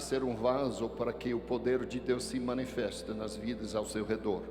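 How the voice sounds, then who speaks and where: Music plays in the background as a man speaks at a fairly slow pace with audible room echo. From Texas. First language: English (speaking Portuguese). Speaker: pastor. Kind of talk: sermon. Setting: church with congregation.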